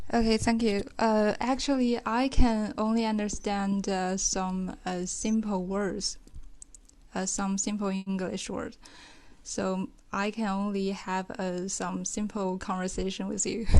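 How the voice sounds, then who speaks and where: On a very clean recording with a silent background, a woman with a Chinese accent speaks at medium pitch and a fairly slow pace. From China. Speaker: caller practising English. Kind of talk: casual conversation practice. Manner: hesitant, many fillers.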